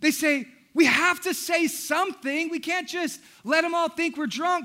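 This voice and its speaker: Using a raised, projected voice with a bright, sharp tone, a man speaks at a moderate pace in a very clean recording with a silent background. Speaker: pastor. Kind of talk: sermon. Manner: loud; animated.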